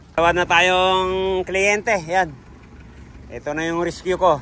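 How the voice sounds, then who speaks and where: This man talks very slowly in a high pitch with a bright, sharp tone. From Bulacan, Philippines. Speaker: car aircon mechanic and vlogger. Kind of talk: casual vlog narration while working. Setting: repair shop. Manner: casual, with many fillers.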